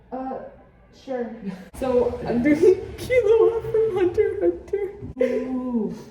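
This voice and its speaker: A high-pitched woman speaks very slowly with long, frequent pauses, very wide pitch swings and big swings in loudness, over noticeable background noise and audible room echo. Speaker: cosplayer vlogger. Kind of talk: casual vlog. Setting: public bathroom.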